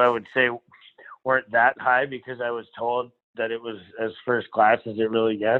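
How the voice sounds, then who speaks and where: A man speaks at medium pitch and a moderate pace. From Alberta, Canada. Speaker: PGA Tour caddie. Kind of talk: casual interview. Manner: animated, joking.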